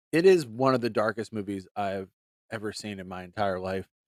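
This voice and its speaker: In a very clean recording with a silent background and a dry, close sound with no echo, a man with a slight Pittsburgh accent speaks with ordinary pitch variation. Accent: slight Pittsburgh accent that sneaks out. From western Pennsylvania, near Youngstown. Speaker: movie podcast host. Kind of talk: solo podcast monologue.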